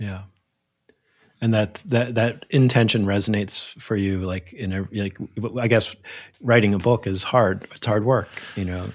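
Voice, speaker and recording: This man has an unremarkable speaking voice, fairly low in pitch, and talks at a moderate pace with fairly even intonation in an American accent. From US, Philadelphia. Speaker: podcast host. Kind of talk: interview conversation.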